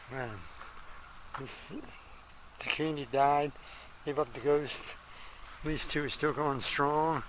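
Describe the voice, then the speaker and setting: In a relaxed tone, a man with a fairly high pitch speaks very slowly and in a monotone, flat intonation, leaving long, frequent pauses amid audible room echo. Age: 80s+. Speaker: home gardener. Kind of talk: casual garden tour vlog. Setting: outdoors in garden. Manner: relaxed, halting with fillers.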